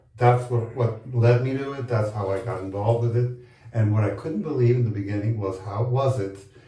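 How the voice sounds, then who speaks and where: A man at a medium pitch and moderate pace, with ordinary pitch variation, noticeable background noise and audible room echo. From Colombia. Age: 60s. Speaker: HIV advocate and long-term survivor. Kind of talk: interview. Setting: bathtub on location in Chicago.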